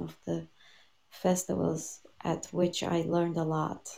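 A soft-spoken woman over noticeable background noise. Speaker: radio show co-host and tango teacher. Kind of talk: casual chat.

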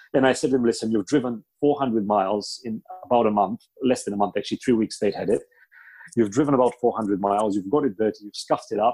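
Very fast and dry, with a close sound and no echo, a man in a Bulgarian accent talks at a medium pitch in a dark, mellow tone with ordinary pitch variation. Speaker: car dealer. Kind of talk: casual interview chat.

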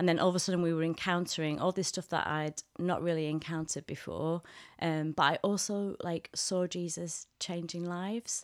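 A woman with a Mancunian accent speaks at a moderate pace, fairly low in pitch and monotone, with flat intonation. The sound is dry and close with no echo, in a very clean recording with a silent background. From Manchester, northern England. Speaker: theology hub director. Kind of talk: casual interview chat.

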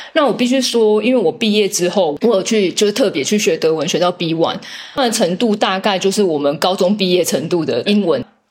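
Over noticeable background noise, a woman talks at a fairly quick pace with a medium pitch, lively intonation and very even loudness. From Taiwan. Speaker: biotech commercial director. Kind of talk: interview.

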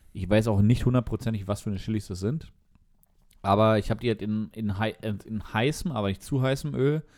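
A man talks at a fairly quick pace in a fairly low voice with ordinary pitch variation. He leaves long, frequent pauses. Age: 30s. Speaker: podcast co-host, computer scientist. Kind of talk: casual chat over beer.

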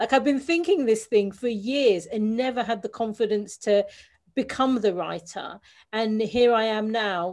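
A woman with a London accent, fairly high pitch, ordinary pitch variation and a fairly slow pace, against a quiet background. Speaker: business coach and author. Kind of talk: interview.

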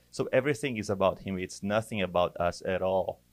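On a very clean recording with a silent background, a man with a Portuguese accent speaks at a moderate pace and a fairly low pitch. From Brazil. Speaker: church worship director. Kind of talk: casual chat.

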